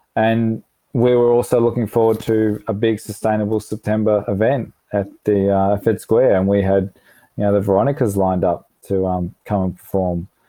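A man with an Australian accent speaks at a fairly low pitch and a moderate pace. His intonation is fairly even, and his loudness stays very even. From Melbourne, Australia. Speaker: environmental charity director. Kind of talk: interview. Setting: remote call.

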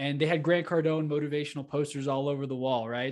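A man's fairly high, fairly quick voice with an American accent, an ordinary speaking voice, in a quiet background. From Texas, Houston area. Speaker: real estate entrepreneur and podcast host. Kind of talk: interview.

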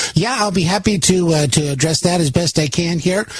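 A man talks fairly quickly, his pitch varying in an ordinary way, with noticeable noise in the background. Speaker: radio host. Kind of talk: live talk radio monologue. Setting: overnight radio broadcast. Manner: conversational, fillers, political commentary.

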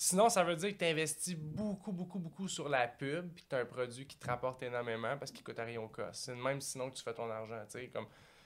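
With a Quebec accent, a man rattles on at a very fast pace with hardly any pauses, his fairly high voice showing lively intonation and big swings in loudness. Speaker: entrepreneur. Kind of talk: casual chat.

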